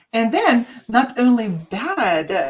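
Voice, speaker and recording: A woman's voice with a non-native accent. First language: not English. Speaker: radio co-host and past life regression practitioner. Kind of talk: radio talk show discussion. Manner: halting, many fillers.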